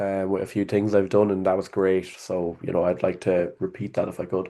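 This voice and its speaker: A man with a very deep, low pitch, a dark, mellow tone and an Irish accent, monotone, flat intonation, fairly quick pace, quiet background. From Ireland, Athlone (midlands). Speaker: sales worker, call prospect. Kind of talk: casual interview on a call. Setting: call. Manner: hesitant, filler-heavy.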